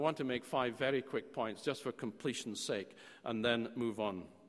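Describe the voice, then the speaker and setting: Fairly quick speech from a man in a Scottish accent, medium in pitch with ordinary pitch variation, in a very clean recording with a silent background. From Scotland. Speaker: theology professor. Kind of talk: lecture.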